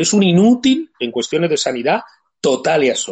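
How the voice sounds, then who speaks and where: Using vocal fry and a fairly high pitch, a man speaks at a moderate pace with very wide pitch swings. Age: 50s. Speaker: livestream host. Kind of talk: casual chat.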